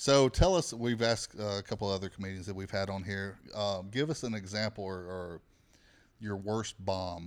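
In a very clean recording with a silent background, the speaker uses a Southern US accent at a moderate pace with ordinary pitch variation. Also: man, fairly low pitch for a man. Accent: Southern US, noticeable. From Alabama. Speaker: podcast host, comedian. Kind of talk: casual chat. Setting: studio.

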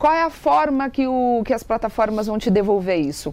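Here a woman talks in an ordinary speaking voice at a moderate pace. Her fairly high pitch carries lively intonation. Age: 30s. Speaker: TV presenter and digital influencer. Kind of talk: interview, giving marketing advice.

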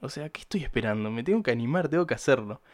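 Speaking with an Argentine accent, a man makes very wide pitch swings in a very clean recording with a silent background. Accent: Rioplatense Argentine Spanish. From Buenos Aires province, Argentina. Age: young. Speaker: podcaster. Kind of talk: casual monologue. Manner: hesitant, many fillers and repeated words.

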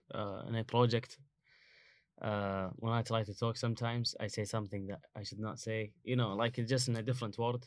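Speaking with a Kuwaiti accent, a man talks at a fairly quick pace and a medium pitch. His intonation is monotone and flat on a very clean recording with a silent background. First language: Arabic. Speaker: international student. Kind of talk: casual interview chat. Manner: halting, many fillers.

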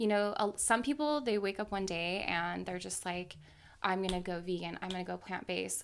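A woman of medium pitch speaks at a fairly quick pace with ordinary pitch variation, on a very clean recording with a silent background. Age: 20s. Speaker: style and lifestyle blogger. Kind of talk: casual interview.

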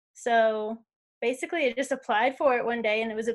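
On a very clean recording with a silent background, a woman speaks in a high pitch with an American accent. She keeps a moderate pace and ordinary pitch variation. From US West, Las Vegas. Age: 20s. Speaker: traveler. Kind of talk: casual chat.

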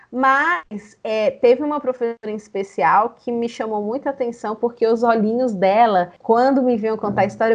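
At a moderate pace with hardly any pauses, a woman uses an ordinary speaking voice at a fairly high pitch with ordinary pitch variation. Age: 30s. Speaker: storyteller and storytelling teacher. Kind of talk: interview.

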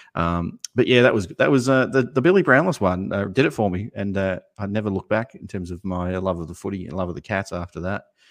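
Speaking at a very fast pace, a man with a fairly low pitch and ordinary pitch variation shows big swings in loudness, in a dry, close sound with no echo and a quiet background. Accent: Australian. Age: 40s. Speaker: basketball YouTube channel co-host. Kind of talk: casual chat.

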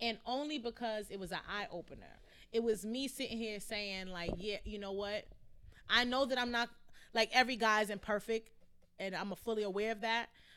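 At a moderate pace, a woman speaks in a fairly high, bright, sharp voice with fairly even intonation. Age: 20s. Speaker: podcast co-host. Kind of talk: casual chat.

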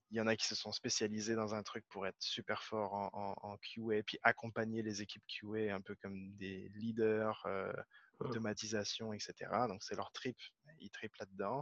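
A man speaks at a fairly slow pace, his pitch fairly low and his intonation monotone and flat. The sound is dry and close, with no echo. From France, Paris region. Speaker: Scrum Master. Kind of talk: interview. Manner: halting, many repeated words.

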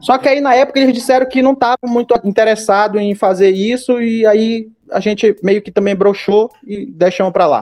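A man's high-pitched, fairly even voice at a moderate pace, with hardly any pauses, in a dry, close sound with no echo. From Belém, Pará, northern Brazil. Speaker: podcast co-host. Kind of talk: casual chat.

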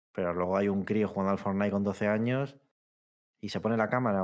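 In a very clean recording with a silent background, a man with a fairly low pitch speaks very fast in a monotone, flat intonation. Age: 30s. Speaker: video game podcast co-host. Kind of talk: casual chat.

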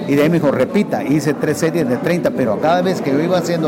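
A man speaks at a fairly quick pace and a fairly high pitch, with ordinary pitch variation. Audible room echo and noticeable background noise are present. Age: 60s. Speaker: retired para-powerlifter. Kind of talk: radio interview.

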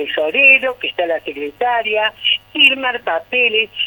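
A woman talks at a fairly slow pace. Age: 60s. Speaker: neighbourhood association president. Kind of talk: radio phone interview. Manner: animated.

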